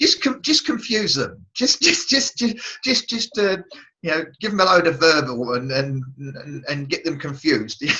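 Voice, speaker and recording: A man's high-pitched, bright, sharp voice at a fairly slow pace with very wide pitch swings. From England. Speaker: radio show host. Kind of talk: interview answer. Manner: casual, humorous.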